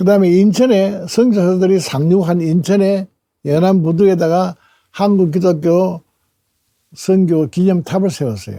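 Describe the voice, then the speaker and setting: Speaking at a fairly slow pace, a man with a high pitch and a dark, mellow tone uses ordinary pitch variation. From South Korea, Tongyeong. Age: 80s+. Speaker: retired journalist and church elder. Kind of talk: talk. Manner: halting.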